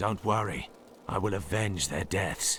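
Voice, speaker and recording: Over clear background noise, a man uses a raspy put-on character voice at a fairly low pitch and a fairly slow pace. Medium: video game. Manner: grim, terse.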